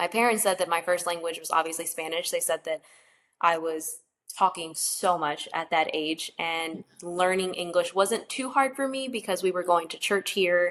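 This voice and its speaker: This woman has an unremarkable speaking voice with fairly low pitch. She talks at a moderate pace with ordinary pitch variation. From North Carolina, US (born in Mexico, came at two). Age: 30s. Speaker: DACA recipient sharing her story. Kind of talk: casual interview conversation.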